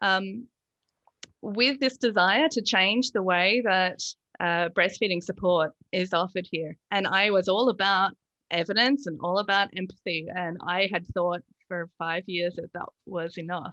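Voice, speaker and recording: Using an Australian accent, a woman speaks at a medium pitch and a fairly slow pace, her tone bright and sharp, with ordinary pitch variation and a dry, close sound with no echo. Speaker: lactation consultant. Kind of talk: casual interview.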